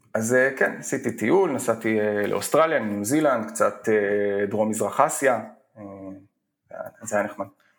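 At a moderate pace, a man speaks with a medium pitch, ordinary pitch variation, and long, frequent pauses. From Israel, Emek Hefer coastal moshav. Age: 30s. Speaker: tech entrepreneur. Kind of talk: casual interview.

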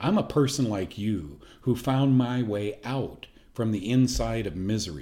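Speaking with an American accent at a fairly slow pace, a man has a dark, mellow tone, medium pitch and lively intonation. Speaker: health show host. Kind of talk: personal testimony. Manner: casual, with frequent fillers.

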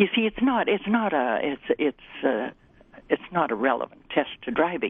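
A woman speaks with a Canadian accent. Her pitch swings very widely. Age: old. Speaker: seniors' advocate. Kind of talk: radio interview. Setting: phone call.

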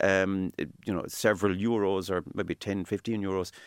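A man with a Cork accent at a moderate pace, on a very clean recording with a silent background. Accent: Cork Irish. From Ireland, East Cork (Midleton). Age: 40s. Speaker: engineer and home builder. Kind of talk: interview.

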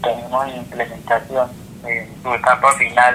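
Noticeable background noise sits behind the speaker. He is a man talking at a fairly slow pace. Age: 30s. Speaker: former combatant leading a fish farming project. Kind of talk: interview testimony.

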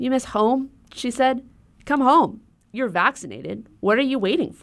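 A woman with vocal fry talks at a moderate pace. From Hawaii, Honolulu. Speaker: radio commentator. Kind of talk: scripted narration.

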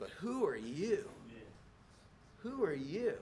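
A man's guttural, put-on character voice over clear background noise. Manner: mocking, challenging.

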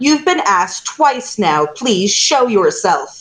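A female-sounding voice puts on a high-pitched character voice with very wide pitch swings at a fairly slow pace. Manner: commanding, menacing.

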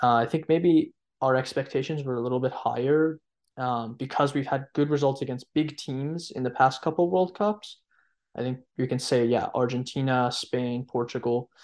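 A man speaks at a moderate pace and medium pitch, with fairly even intonation, in a plain, everyday voice. The background is quiet. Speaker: football analyst. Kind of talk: podcast panel discussion.

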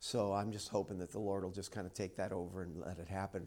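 On a very clean recording with a silent background, a man with an ordinary speaking voice talks at a fairly quick pace and a fairly low pitch. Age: 50s. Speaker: preacher. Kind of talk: sermon. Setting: church. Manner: casual, conversational.

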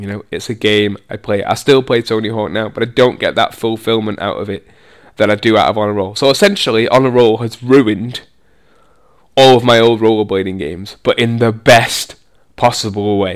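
On a very clean recording with a silent background, a man speaks at a fairly quick pace. His pitch is medium and his intonation fairly even. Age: 30s. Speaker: podcast host and rollerblader. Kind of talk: casual solo podcast talk. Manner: hesitant, many fillers.

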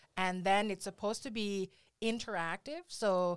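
Over a very clean recording, silent background, a woman speaks in a normal speaking voice at medium pitch. Her pace is moderate, and her pitch variation is ordinary. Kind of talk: casual interview chat. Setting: studio.

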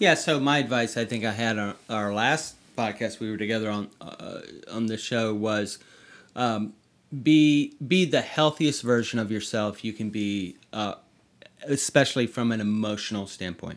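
A man with a plain, everyday voice and an American accent, medium in pitch, ordinary pitch variation, moderate pace, on a very clean recording with a silent background. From US South, North Carolina. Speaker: author, podcast guest. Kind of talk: casual chat. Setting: bedroom at home.

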